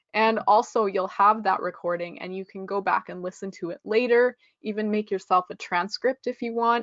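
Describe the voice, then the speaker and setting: In an ordinary speaking voice, a woman with a Canadian accent talks at a moderate pace and medium pitch, her intonation fairly even, the sound dry and close with no echo over a quiet background. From western Canada (Regina, Saskatchewan). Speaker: English test prep instructor. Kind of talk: webinar lecture. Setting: online webinar.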